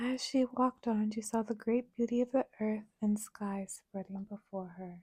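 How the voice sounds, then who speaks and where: A soft-spoken woman whispers at a fairly slow pace, somewhat breathy and gentle in tone. The sound is dry and close with no echo. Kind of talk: ASMR story reading. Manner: soft-spoken, gentle, whispery.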